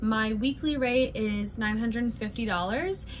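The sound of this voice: A woman talks at a fairly slow pace, her fairly high pitch showing ordinary variation.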